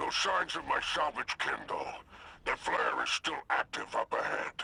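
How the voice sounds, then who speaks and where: A put-on character voice from a man, moderately paced. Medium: video game. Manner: theatrical, flowery.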